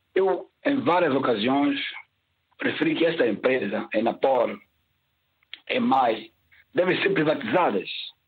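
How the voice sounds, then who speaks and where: A man talks at a fairly slow pace with long, frequent pauses. His high voice makes very wide pitch swings at very even loudness. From São Tomé and Príncipe. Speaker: caller. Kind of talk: call-in opinion.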